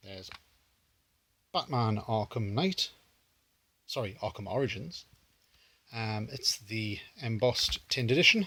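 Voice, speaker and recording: With a British accent and a medium pitch, a man speaks in a bright, sharp tone with lively intonation and long, frequent pauses, on a very clean recording with a silent background. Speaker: retro gaming YouTuber. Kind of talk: casual pickups video talk. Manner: hesitant, many fillers.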